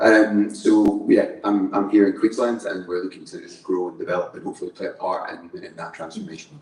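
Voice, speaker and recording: Fairly quick speech from a man, with hardly any pauses, big swings in loudness and noticeable background noise. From Scotland. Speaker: engineer and construction company manager. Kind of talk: panel discussion introduction.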